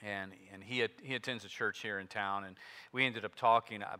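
Against a quiet background, a man with an unremarkable speaking voice talks at a fairly quick pace, his fairly low pitch held in fairly even intonation. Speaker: pastor. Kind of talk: sermon. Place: church.

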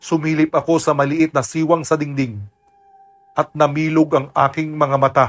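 A man talks in a fairly high voice while music plays behind him. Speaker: voice actor narrator. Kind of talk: scripted horror narration of a listener's first-person aswang story, told in Tagalog. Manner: hushed, suspenseful, steady storytelling pace that builds tension; dramatic and somber, with grave emphasis on frightening moments.

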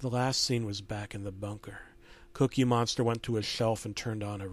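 Fairly even intonation carries this natural reading voice.

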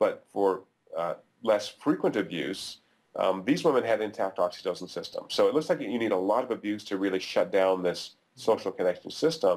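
The man's pace is moderate, and the background stays quiet. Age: 50s. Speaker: neuroeconomics professor. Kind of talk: interview. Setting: video call. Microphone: webcam.

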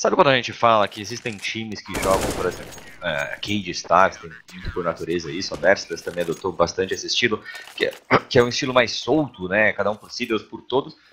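With a Brazilian accent, a man talks at a fairly quick pace with lively intonation and big swings in loudness over noticeable background noise. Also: fairly low pitch for a man. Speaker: color commentator analyst. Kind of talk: analytical esports commentary.

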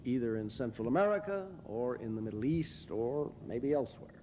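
Over light background noise, a man speaks in a dark, mellow tone. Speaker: lecturer or public speaker. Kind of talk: lecture. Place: hall. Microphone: podium.

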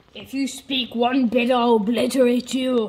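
A put-on, female-sounding character voice, high-pitched and raspy, flat and monotone at a moderate pace. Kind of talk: comic villain impression. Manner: flat, menacing.

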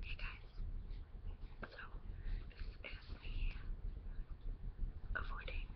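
Loud background noise fills the clip. A woman speaks at a very slow pace. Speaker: ASMR creator. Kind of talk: ASMR whisper video, casual chat. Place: home room. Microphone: webcam.

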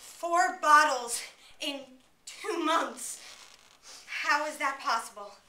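In a room with audible echo, a woman speaks very slowly in a raised, projected voice. Her pitch moves in an ordinary way. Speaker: student actor. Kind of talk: dramatic monologue performance. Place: classroom. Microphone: camera far.

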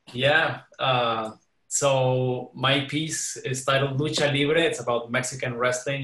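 Audible room echo hangs around a man's voice. He talks fairly slowly, intonation fairly even. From Mexico. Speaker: composer. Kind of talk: casual chat. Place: home room. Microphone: webcam.

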